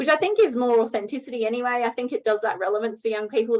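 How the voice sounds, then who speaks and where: A woman speaks with an Australian accent. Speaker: teacher. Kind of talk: online professional development presentation. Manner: fast.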